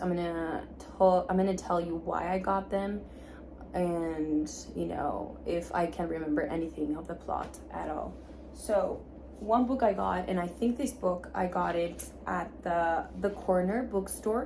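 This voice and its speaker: The woman talks at a moderate pace in a medium pitch. Her pitch varies in an ordinary way, and audible room echo surrounds her. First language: Spanish. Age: 20s. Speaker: book vlogger. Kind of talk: casual vlog talk. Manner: informal, with filler words.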